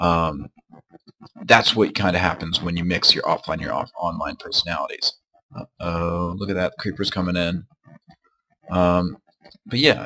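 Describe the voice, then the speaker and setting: Speech comes at a moderate pace with long, frequent pauses, and the sound is dry and close with no echo. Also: man. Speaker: gaming youtuber and graduate student. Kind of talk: gameplay commentary. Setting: home desk recording. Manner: hesitant, many ums.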